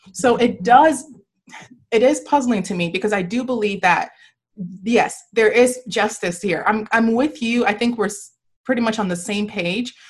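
A woman's somewhat breathy voice, fairly high in pitch, at a moderate pace with ordinary pitch variation. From Nigeria. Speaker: podcast host. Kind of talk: casual chat. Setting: video call.

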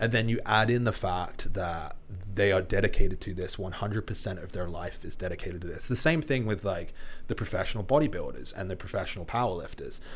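A man speaks at a fairly quick pace. His voice is somewhat breathy, with ordinary pitch variation. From England. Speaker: online fitness coach. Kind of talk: casual chat. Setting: studio.

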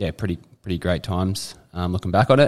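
A man with an Australian accent talks at a fairly quick pace. The recording is very clean, with a silent background. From Australia, eastern suburbs of Sydney. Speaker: former rugby league player. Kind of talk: casual interview chat.

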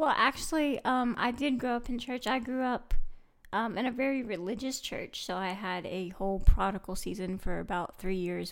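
A woman talks at a moderate rate, recorded very cleanly against a silent background. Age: 20s. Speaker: guest co-host. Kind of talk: casual chat.

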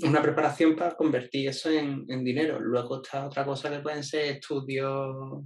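A man with an Andalusian accent, fairly high-pitched, at a moderate pace with hardly any pauses and a monotone, flat delivery. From Jerez, Andalusia, Spain. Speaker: marketing employee and stand-up comedian. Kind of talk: casual interview conversation.

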